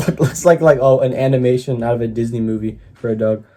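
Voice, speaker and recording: A man talks while a fair amount of background noise carries on behind him. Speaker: YouTube reactor. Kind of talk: casual reaction commentary.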